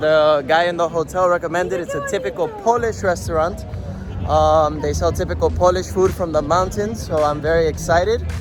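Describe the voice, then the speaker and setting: A man's voice with music in the background. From Spain. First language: Spanish. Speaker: travel vlogger and TV actor. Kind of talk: travel vlog. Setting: outdoors.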